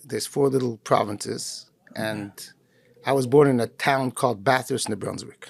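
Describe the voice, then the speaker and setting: A plain, everyday voice from a man at medium pitch. He keeps a moderate pace with fairly even intonation. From Canada, Montreal. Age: 60s. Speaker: rabbi. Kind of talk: interview.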